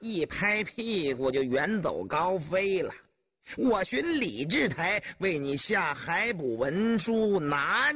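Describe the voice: Lively intonation in plain reading aloud, the background quiet.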